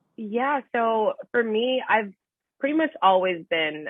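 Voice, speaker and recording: With an animated tone, a woman speaks using lively intonation. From Buffalo, New York, US. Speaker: reality TV contestant. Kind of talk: interview. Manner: loud.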